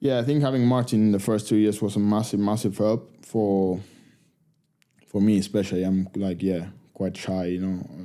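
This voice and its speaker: A man with an Argentine accent, fairly low in pitch, with a dark, mellow tone, fairly even intonation and a moderate pace. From Argentina. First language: Spanish. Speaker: professional rugby player. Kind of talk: podcast interview.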